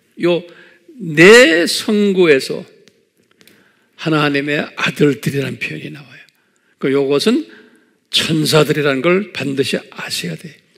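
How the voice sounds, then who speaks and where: A man at a fairly slow pace, with long, frequent pauses, ordinary pitch variation and a quiet background. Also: big swings in loudness. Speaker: pastor teaching Bible class. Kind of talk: lecture.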